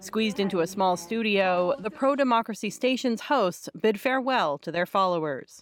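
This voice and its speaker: A woman speaks in a plain, everyday voice. Her intonation is lively. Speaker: news reporter. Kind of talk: news report.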